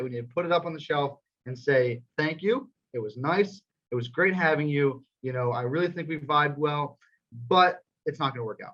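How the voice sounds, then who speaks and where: Fairly high for a man, his voice moves at a fairly quick pace with ordinary pitch variation. His loudness swings widely. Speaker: student sports show co-host. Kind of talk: casual chat. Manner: halting.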